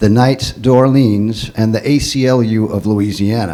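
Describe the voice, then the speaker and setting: Noticeable background noise surrounds a man speaking at a fairly slow pace. His medium-pitched voice shows ordinary pitch variation. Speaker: panel moderator. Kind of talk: panel introduction.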